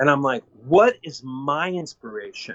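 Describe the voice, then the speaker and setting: With music in the background, a man talks in an American accent. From Kansas. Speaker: actor. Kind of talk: interview.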